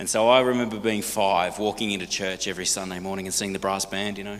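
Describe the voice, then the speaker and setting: Over noticeable background noise, a man with an Australian accent speaks at a very fast pace in an animated tone. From Australia, partly raised in Hong Kong. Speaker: singer and speaker. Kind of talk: talk to a church congregation. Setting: church.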